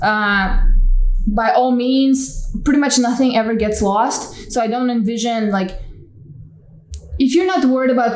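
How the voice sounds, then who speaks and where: Audible room echo and noticeable background noise surround a woman speaking at a fairly high pitch. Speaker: vlogger and small online store owner. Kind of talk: casual vlog monologue. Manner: casual, hesitant fillers.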